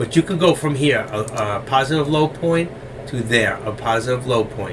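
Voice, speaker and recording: Noticeable background noise surrounds a man speaking with a New York accent. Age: 60s. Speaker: stock trading educator. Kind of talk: live trading tutorial. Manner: fast.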